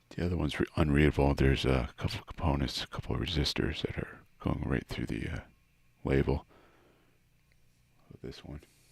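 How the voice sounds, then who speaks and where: Quiet and mumbling, a man with a very deep, low pitch and vocal fry talks at a fairly quick pace yet leaves long, frequent pauses. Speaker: guitar hobbyist YouTuber. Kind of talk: casual tutorial. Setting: garage.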